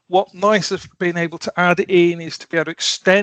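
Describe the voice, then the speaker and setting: A man's bright, sharp tone at a high pitch, dry sound with no echo and a quiet background. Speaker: automation software consultant; presenter. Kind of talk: technical presentation. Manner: halting, many fillers (um, uh). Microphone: headset.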